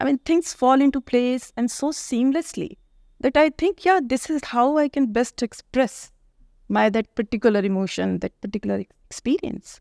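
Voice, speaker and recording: Spoken in an Indian accent with lively intonation at a moderate pace, the voice sounds dry and close with no echo, on a very clean recording with a silent background. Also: woman, high pitch for a woman. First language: Hindi. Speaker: author and English professor. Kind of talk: interview conversation. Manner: hesitant, many fillers.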